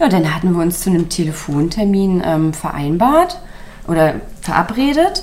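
Noticeable background noise behind a woman's fairly low voice, with lively intonation at a moderate pace. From Mecklenburg-Western Pomerania. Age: 30s. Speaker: small business founder, caregiver. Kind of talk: interview.

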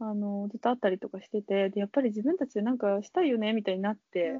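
A woman speaks very fast in a fairly high, somewhat breathy voice. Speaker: pastry chef. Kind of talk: casual interview chat. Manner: halting, many fillers.

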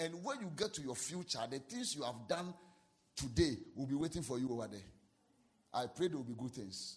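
A somewhat breathy, fairly high male voice with lively intonation and a Ghanaian accent. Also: fairly quick pace. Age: 40s. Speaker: pastor. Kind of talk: sermon. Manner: animated.

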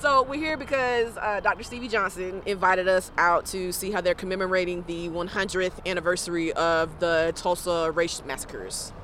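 Over noticeable background noise, a woman with an American accent and medium pitch speaks at a moderate pace with ordinary pitch variation and hardly any pauses. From US South. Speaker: podcast co-host, professor and writer. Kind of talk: casual chat and interviews.

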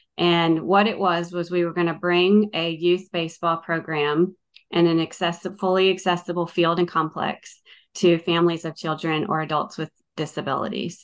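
Spoken at a moderate pace in an American accent, the voice stays monotone and flat against a quiet background. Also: woman, fairly low pitch for a woman. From Northern Virginia, US. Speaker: nonprofit sports ministry leader. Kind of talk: interview.

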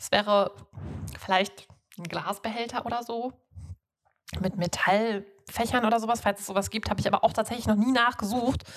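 Speaking at a moderate pace with long, frequent pauses, a woman keeps a fairly high pitch and fairly even intonation. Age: 30s. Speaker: podcast host, zero-waste enthusiast. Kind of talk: interview. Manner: hesitant with many fillers.

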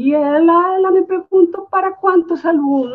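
With a Spanish accent, this woman keeps to a moderate pace. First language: Spanish (speaking Portuguese). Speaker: architecture professor. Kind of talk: anecdote in webinar.

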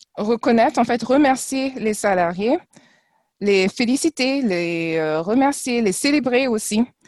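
The speech moves at a very slow pace, with very wide pitch swings. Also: woman. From France and Trinidad. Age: 40s. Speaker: former corporate ambassador. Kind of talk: casual interview. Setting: video call.

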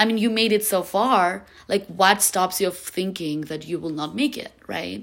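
Speaking at a moderate pace, a woman with a medium pitch shows vocal fry and ordinary pitch variation. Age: 20s. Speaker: podcast host. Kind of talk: casual monologue. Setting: friend's apartment.

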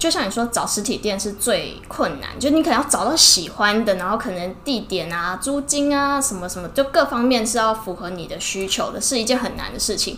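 Noticeable noise sits in the background. Through it, a woman talks with lively intonation. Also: fairly high pitch for a woman, fairly quick pace. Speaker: ear-cleaning shop owner, entrepreneur. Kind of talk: casual interview. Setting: in her shop.

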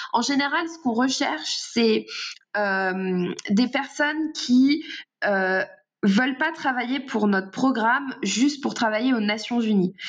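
At a very slow pace, a woman with a high pitch talks with lively intonation. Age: 20s. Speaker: communications consultant. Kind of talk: interview. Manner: halting, frequent repetitions.

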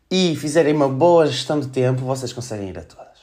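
Here a man speaks at a medium pitch with lively intonation. Room echo is audible. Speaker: podcast host. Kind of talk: casual monologue. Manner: animated.

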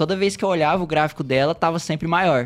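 A man's high voice at a very fast pace. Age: 20s. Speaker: software developer, crypto guest expert. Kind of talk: casual podcast interview. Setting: studio.

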